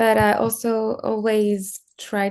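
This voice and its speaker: Against a quiet background, a woman with a French accent speaks in a dark, mellow tone. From France. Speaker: screenwriter and music video director. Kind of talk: online interview.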